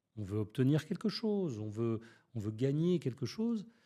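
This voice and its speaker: In a very clean recording with a silent background, a man's dark, mellow voice makes very wide pitch swings. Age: 60s. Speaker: public speaking coach. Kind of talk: podcast interview.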